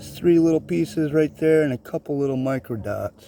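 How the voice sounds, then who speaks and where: The speaker keeps a moderate pace with ordinary pitch variation. Noticeable background noise runs underneath. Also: man. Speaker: gold prospecting vlogger. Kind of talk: casual outdoor vlog narration. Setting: outdoors by a river.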